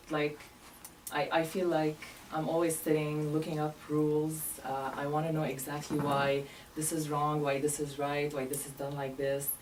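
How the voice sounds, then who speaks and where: A woman's very deep, low pitch with a Lebanese accent, monotone and flat at a moderate pace, amid audible room echo and noticeable background noise. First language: Arabic. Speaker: medical interpreter. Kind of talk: interview. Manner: hesitant, many fillers.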